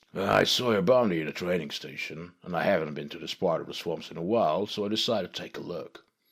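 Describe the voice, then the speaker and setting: A man's put-on character voice, very deep and low, rushing at a very fast pace with hardly any pauses. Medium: read story. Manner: laid-back, self-assured.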